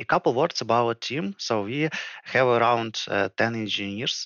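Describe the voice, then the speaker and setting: Speaking at a moderate pace, a man shows vocal fry and ordinary pitch variation. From Ukraine. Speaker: project manager. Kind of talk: podcast interview. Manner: hesitant, with fillers.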